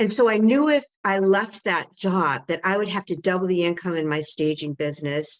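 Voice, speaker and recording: Here is a woman with an ordinary speaking voice and lively intonation. She speaks at a medium pitch and moderate pace, with hardly any pauses. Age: 60s. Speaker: home staging business owner and coach. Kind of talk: interview.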